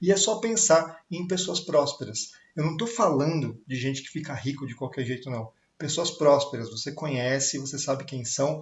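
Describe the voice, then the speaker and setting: A man talks at a moderate pace and fairly high pitch with ordinary pitch variation. His voice is somewhat breathy. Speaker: sales coach. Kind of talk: online talk on sales. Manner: casual, filler-heavy.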